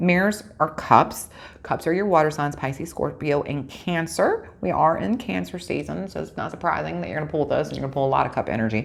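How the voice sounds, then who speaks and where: A raspy put-on character voice at a fairly quick pace, with hardly any pauses. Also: woman, very deep, low pitch for a woman. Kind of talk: tarot reading. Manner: fast-talking.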